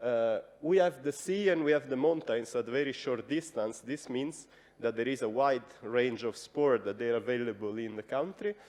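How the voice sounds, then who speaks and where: At a moderate pace, a man with an Italian accent speaks at medium pitch with ordinary pitch variation. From Italy. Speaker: radio journalist. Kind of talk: conference presentation. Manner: hesitant, many fillers.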